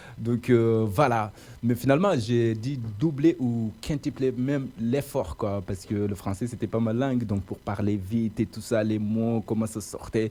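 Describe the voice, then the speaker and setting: In a very clean recording with a silent background, a man speaks at a fairly slow pace. His tone is dark and mellow, at a medium pitch with ordinary pitch variation. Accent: non-native. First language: not French (speaking French). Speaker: radio host. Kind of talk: interview. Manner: hesitant, many fillers.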